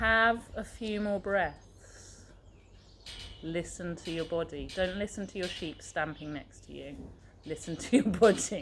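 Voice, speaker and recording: A woman's fairly low voice with vocal fry, big swings in loudness, and a fairly slow pace. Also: ordinary pitch variation. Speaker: circus fitness instructor. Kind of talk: casual chat; guided meditation. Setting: outdoors. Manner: soft-spoken.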